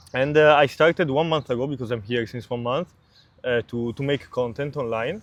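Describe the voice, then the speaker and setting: A man speaks with an Italian accent. His pace is fairly quick. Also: medium pitch for a man, ordinary pitch variation. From Italy. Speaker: startup founder. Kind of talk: interview. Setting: outdoors in a park. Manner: halting.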